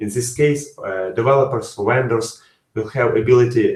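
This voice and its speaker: Against a quiet background with audible room echo, a man speaks at a moderate pace. His medium-pitched voice is somewhat breathy, with fairly even intonation. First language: not English. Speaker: software developer. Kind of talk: interview answers; webinar presentation. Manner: halting. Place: home room. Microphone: webcam.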